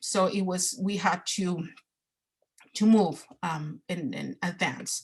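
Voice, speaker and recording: A woman speaks in a Spanish accent. Her voice is somewhat breathy. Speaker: parent presenter at a training. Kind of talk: online training presentation. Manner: halting, many fillers and repetitions.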